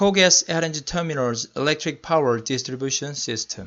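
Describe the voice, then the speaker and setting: A man with a Korean accent, fairly high in pitch, at a moderate pace with ordinary pitch variation. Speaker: electrical engineer. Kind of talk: lecture. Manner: halting.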